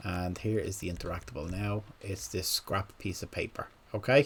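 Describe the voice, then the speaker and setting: A man speaks at a fairly low pitch with a slight Irish accent. His voice is somewhat breathy. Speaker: gaming content creator. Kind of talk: tutorial. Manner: slow; halting.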